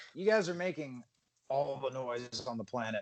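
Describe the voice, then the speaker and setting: A man puts on a gruff character voice at medium pitch. He keeps a moderate pace. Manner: annoyed.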